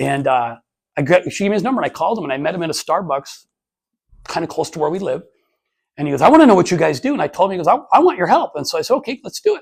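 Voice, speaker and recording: A man with an American accent speaks loud and very fast at a high pitch, with an animated tone and very wide pitch swings. The recording is very clean, with a silent background. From Montana, Anaconda. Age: 50s. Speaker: entrepreneur and motivational speaker. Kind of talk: casual talk to business group. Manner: fast and loud.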